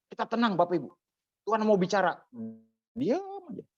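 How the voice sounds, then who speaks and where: The speaker has a strong Javanese accent and moves at a fairly quick pace. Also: man. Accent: thick Javanese. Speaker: preacher teaching homiletics. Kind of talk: lecture. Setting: church service with small audience.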